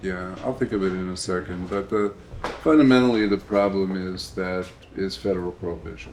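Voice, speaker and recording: A man speaks at a fairly quick pace in a very deep, low pitch with ordinary pitch variation. Noticeable background noise is present. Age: 60s. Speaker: cannabis advocate panelist. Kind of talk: panel discussion.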